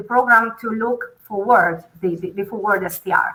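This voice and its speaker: A woman speaks at a moderate pace with fairly high pitch. Her tone is bright and sharp, with ordinary pitch variation. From Italy. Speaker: hotel revenue management panelist. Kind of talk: panel discussion. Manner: hesitant, many fillers.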